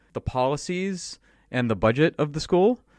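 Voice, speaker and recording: With an ordinary speaking voice, a man talks at a moderate pace and fairly high pitch, with ordinary pitch variation and a dry, close sound with no echo. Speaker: podcast co-host and software worker. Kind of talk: casual chat. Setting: remote call.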